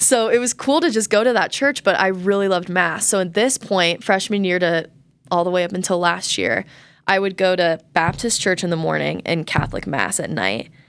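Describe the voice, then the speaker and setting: In an American accent, a woman speaks at a medium pitch with a plain, everyday voice. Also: ordinary pitch variation, moderate pace. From Colorado. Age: 20s. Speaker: college student. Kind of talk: casual chat. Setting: in person, studio.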